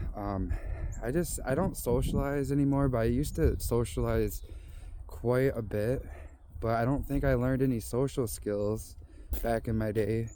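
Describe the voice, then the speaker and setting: A man speaks at a moderate pace with a dark, mellow tone. Room echo is audible. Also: medium pitch for a man, ordinary pitch variation. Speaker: vlogger. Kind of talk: casual vlog monologue. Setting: outdoors on walking trail. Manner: rambling, halting.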